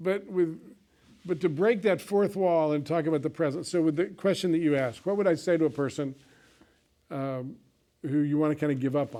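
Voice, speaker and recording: With a dark, mellow tone and fairly high pitch, a man talks at a fairly quick pace, using ordinary pitch variation and long, frequent pauses. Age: 60s. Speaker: counseling teacher. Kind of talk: lecture. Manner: halting, with false starts.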